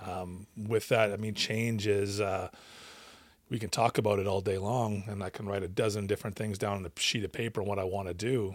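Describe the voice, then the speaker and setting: With a Canadian accent, a man talks at a fairly quick pace in a fairly low pitch and a monotone, flat intonation, on a very clean recording with a silent background. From Western Canada (British Columbia). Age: 40s. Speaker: addiction recovery coach and counsellor. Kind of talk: casual interview.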